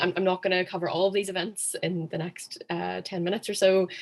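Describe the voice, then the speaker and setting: Using fairly even intonation, a woman with a Northern Irish accent talks at medium pitch and a moderate pace. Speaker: former student society president. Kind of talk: online workshop presentation.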